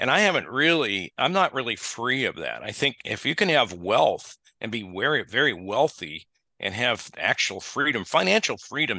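With an American accent and a bright, sharp tone, a man lets his pitch swing very widely, with vocal fry and a quiet background. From US Midwest. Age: 70s. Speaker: family banking advisor. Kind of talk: casual interview.

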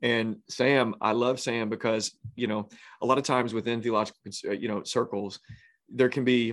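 Fairly even intonation shapes this man's medium-pitched voice. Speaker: podcast host, pastor. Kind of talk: casual interview chat.

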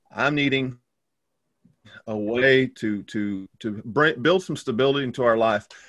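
With a Texan accent, a man of medium pitch speaks at a moderate pace with ordinary pitch variation and long, frequent pauses. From Texas. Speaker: pastor. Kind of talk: casual chat.

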